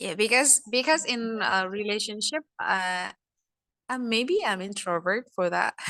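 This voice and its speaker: Bright, sharp female voice with a non-native accent and a dry, close sound with no echo. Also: lively intonation, fairly slow pace. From Asia. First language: not English. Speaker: first-time club visitor. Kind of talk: impromptu speech. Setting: video call. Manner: halting.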